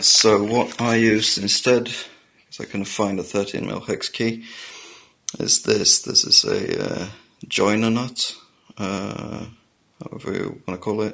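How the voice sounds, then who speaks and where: A man mumbles at a fairly slow pace in a fairly low, monotone, flat voice, with long, frequent pauses and big swings in loudness. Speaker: motorcycle hobbyist mechanic. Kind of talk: tutorial. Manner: mumbling; halting.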